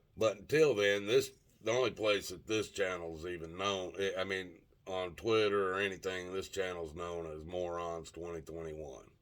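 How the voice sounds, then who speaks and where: Speaking at a moderate pace, a man with a very deep, low pitch swings widely in loudness. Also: ordinary pitch variation. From Tennessee. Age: 60s. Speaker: YouTuber. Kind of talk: casual monologue vlog. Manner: halting, many fillers.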